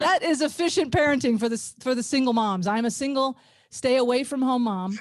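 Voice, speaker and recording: In a slight Ozark accent, the speaker moves at a fairly quick pace with lively intonation and an animated tone. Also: woman. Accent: slight Ozark twang. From Ozarks, US. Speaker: comedian. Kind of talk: stand-up. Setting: video call. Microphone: home garage studio.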